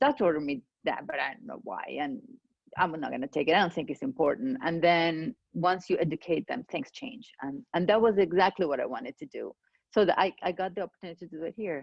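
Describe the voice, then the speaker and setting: A woman talks at a very fast pace and fairly low pitch. Her pitch swings very widely and her loudness shifts a lot. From Venezuela. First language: Spanish. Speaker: clinical pharmacist. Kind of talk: interview. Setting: video call.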